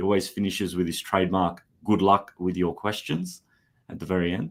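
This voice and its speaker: A man speaks at a very deep, low pitch and a fairly quick pace. His intonation is fairly even, on a very clean recording with a silent background. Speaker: education company representative. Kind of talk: live stream interview.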